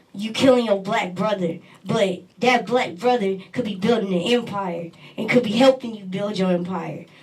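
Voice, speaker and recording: A woman with a medium pitch speaks at a moderate pace. Her loudness swings widely over noticeable background noise. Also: ordinary pitch variation. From Texas. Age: 20s. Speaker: poet and rapper. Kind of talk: interview.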